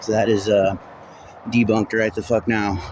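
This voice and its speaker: A man talks over noticeable background noise. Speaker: vlogger. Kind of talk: vlog monologue. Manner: halting, broken up.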